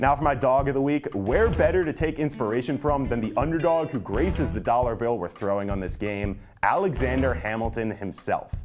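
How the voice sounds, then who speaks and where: Over music in the background, a man speaks at a fairly quick pace with hardly any pauses. His tone is upbeat and his intonation lively. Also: medium pitch for a man. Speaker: sports broadcaster. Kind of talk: TV hosting, sports betting segment.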